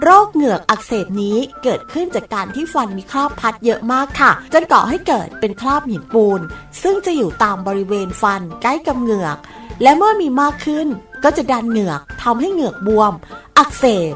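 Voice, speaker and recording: Over background music, a woman talks in a high voice with very wide pitch swings. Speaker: voice talent. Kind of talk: public health information spot read.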